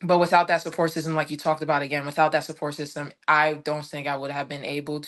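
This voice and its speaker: Over a quiet background, a woman with an American accent speaks very fast in a very deep, low pitch with monotone, flat intonation. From Washington DC. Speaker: former college tennis player, mental health advocate. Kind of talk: podcast interview. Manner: halting.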